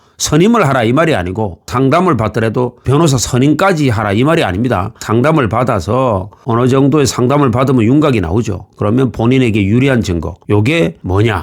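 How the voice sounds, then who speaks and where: An unremarkable speaking voice at a fairly quick pace, with lively intonation, very even loudness and hardly any pauses. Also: man, medium pitch for a man. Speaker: former police investigator giving legal advice. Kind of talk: tutorial.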